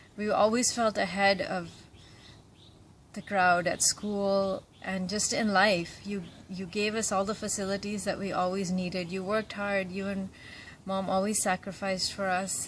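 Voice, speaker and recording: A woman speaks in a somewhat breathy voice with monotone, flat intonation. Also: medium pitch for a woman, moderate pace, very clean recording, silent background. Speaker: son or daughter. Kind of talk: birthday tribute message.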